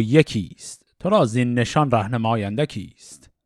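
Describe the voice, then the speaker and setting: A man with an unremarkable speaking voice, at a fairly slow pace and with lively intonation, in a very clean recording with a silent background. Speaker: Shahnameh reading podcast host. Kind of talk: reading aloud classical poetry with commentary.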